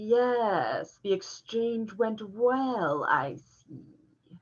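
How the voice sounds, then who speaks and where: A female-sounding voice puts on a character voice. It moves at a very slow pace with a fairly high pitch. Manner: evil.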